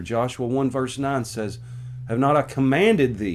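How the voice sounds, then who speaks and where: A man talks with an American accent. He has a normal speaking voice, medium in pitch. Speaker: pastor. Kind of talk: sermon-style Bible book overview.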